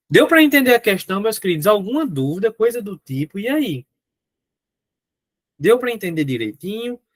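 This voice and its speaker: Here a man speaks at a moderate pace, his pitch high with very wide swings. The sound is dry and close, with no echo. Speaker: teacher. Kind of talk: lecture. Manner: animated.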